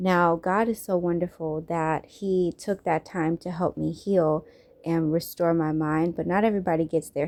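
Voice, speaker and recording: Captured on a very clean recording with a silent background, a woman with an unremarkable speaking voice talks at a fairly low pitch. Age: 30s. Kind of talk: personal testimony storytime.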